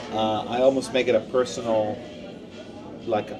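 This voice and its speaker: Music sits in the background while a man with an Israeli accent speaks at a moderate pace. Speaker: podcast co-host. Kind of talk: casual chat. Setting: deli.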